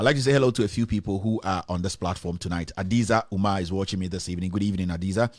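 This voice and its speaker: With a Ghanaian accent, a man speaks in a very deep, low pitch and ordinary pitch variation. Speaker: online news show host. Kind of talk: live stream news commentary. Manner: hesitant, many fillers.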